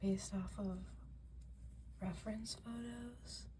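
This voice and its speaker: The speaker is soft-spoken, with a relaxed tone and a very slow pace. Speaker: ASMR creator. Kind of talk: ASMR soft-spoken talk while coloring. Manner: soft-spoken, relaxed.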